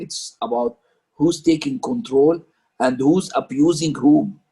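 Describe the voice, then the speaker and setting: Speaking at a very slow pace, a man with an Arabic accent uses lively intonation and a fairly high pitch for a man. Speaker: parent discussion leader. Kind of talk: group discussion. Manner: halting.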